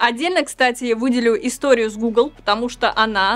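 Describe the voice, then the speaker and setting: With a high pitch and ordinary pitch variation, a woman talks at a fairly quick pace. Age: 30s. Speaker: tech news presenter; news presenter. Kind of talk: news roundup vlog. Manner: animated. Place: studio.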